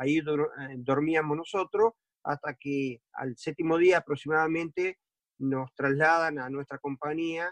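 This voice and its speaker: Recorded in a dry, close sound with no echo, a man speaks fairly slowly at a fairly high pitch with ordinary pitch variation. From Argentina, Entre Ríos. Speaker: war veteran. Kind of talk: interview testimony. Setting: video call.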